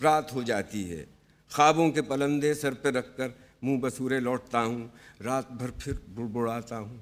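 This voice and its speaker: Silent background, very clean recording, and fairly even intonation. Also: man. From Pakistan. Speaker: television artist. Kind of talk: poetry reading.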